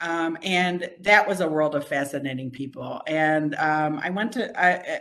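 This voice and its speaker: With hardly any pauses, a woman speaks at a fairly slow pace in a fairly low voice with ordinary pitch variation. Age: 60s. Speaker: retiring law professor. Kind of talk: farewell lecture. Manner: halting, many fillers.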